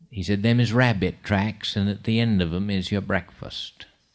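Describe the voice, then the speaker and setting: Speaking in a Maine accent, a man keeps a fairly low pitch and fairly even intonation. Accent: Downeast Maine. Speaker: storyteller. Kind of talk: live storytelling performance.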